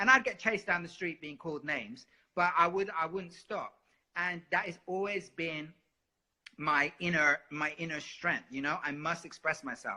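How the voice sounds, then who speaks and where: Here a man speaks at a high pitch and a moderate pace with ordinary pitch variation. His tone is animated, bright and sharp. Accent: London. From London, England. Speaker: singer. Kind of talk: interview.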